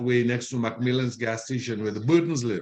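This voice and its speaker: This man has a medium pitch. He talks at a very fast pace. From Dominica. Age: 60s. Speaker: interviewer. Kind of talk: interview.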